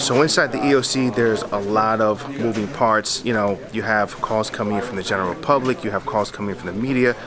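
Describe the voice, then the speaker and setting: The speaker has an energetic tone and a fairly quick pace, with noticeable background noise behind the voice. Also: man. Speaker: police officer vlogger. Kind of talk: vlog walkthrough. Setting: emergency operations center. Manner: casual, energetic; lowered voice.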